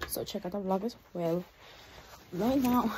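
A woman with a fairly high voice speaks at a fairly quick pace over noticeable background noise. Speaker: vlogger. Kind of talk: casual vlog talk to camera.

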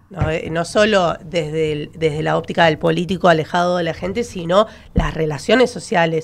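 A woman speaks with a normal speaking voice, fairly low in pitch. Her pace is moderate and her pitch variation ordinary. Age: 30s. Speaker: political consultant; panelist. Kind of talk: radio panel debate. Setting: radio studio. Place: studio. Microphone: studio mic.

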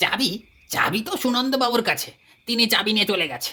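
In a put-on character voice, a female-sounding speaker talks at a moderate pace, fairly high in pitch and shrill.

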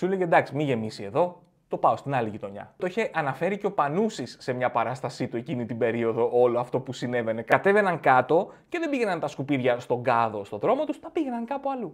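Against a quiet background, a man talks at a fairly quick pace with hardly any pauses, a fairly high pitch, and very wide pitch swings. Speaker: comedian podcast host. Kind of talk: stand-up comedy routine. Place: home room. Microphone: studio mic.

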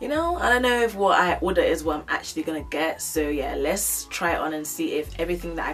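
A woman speaks with faint music in the background. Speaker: fashion haul vlogger. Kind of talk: casual vlog chat. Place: home room.

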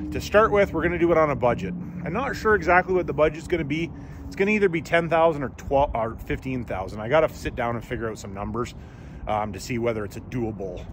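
A man talking very fast with big swings in loudness, a dry sound with no echo, and noticeable background noise. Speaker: mechanic vlogger. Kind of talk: casual vlog chat. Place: street. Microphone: phone near.

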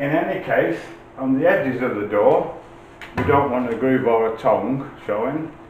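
A man is heard with audible room echo over light background noise. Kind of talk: tutorial. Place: workshop. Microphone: camera far.

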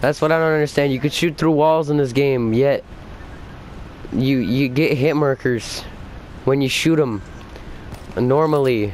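Against noticeable background noise, a man with a fairly high pitch and ordinary pitch variation talks at a fairly slow pace with very even loudness and long, frequent pauses. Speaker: gaming youtuber. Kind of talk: casual chat. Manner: animated.

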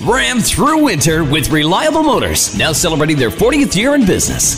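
Over clear background music, a man's voice moves through very wide pitch swings. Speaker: voice actor. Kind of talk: radio commercial read, car dealership ad. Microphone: studio mic.

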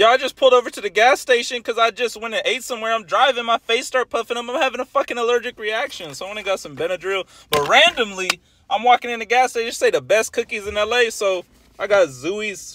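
Amid noticeable background noise, a man in a raised, projected voice speaks very fast with ordinary pitch variation, the sound dry with no echo. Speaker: food vlogger. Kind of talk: casual vlog chat. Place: car. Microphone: phone near.

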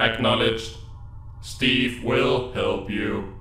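A man puts on a character voice at medium pitch. He speaks at a very slow pace, with a slight echo. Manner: flat, simple, halting.

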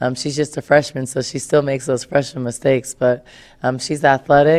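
A fairly quick pace against a quiet background. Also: woman. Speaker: basketball coach. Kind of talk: interview answer. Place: hall. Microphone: podium.

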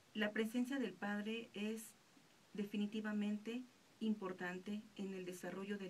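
A woman's fairly slow, monotone, flat delivery over light background noise. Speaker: radio announcer. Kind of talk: radio reflection, reading a personal anecdote on absent fathers. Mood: calm, reflective. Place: studio. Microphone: studio mic.

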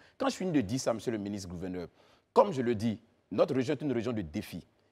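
A man with an Ivorian accent at a very fast pace, very wide pitch swings and a dark, mellow tone against a quiet background. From Côte d'Ivoire, western mountains region. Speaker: journalist; talk show guest. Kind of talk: TV panel questioning. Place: studio.

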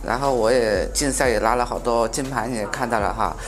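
A man speaks at a moderate pace. Behind him, clear music is playing. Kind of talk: interview answer. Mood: proud, reflective. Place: cafe. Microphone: lapel.

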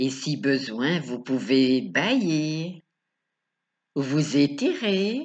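A woman speaks with a very deep, low pitch and lively intonation against a quiet background. Her pace is very slow, with long, frequent pauses. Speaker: sophrology and hypnosis coach. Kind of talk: guided meditation. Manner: slow, soothing, calm, with long pauses; soft-spoken, gentle, repetitive. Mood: calm, soft, slow. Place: home room. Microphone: webcam.

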